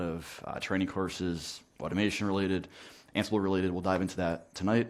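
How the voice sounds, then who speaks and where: On a very clean recording with a silent background, a man with a New Jersey accent talks at a very fast pace in a very deep, low pitch with monotone, flat intonation. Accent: New Jersey American. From US, New Jersey. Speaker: network automation trainer. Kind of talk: technical talk. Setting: meetup talk with audience.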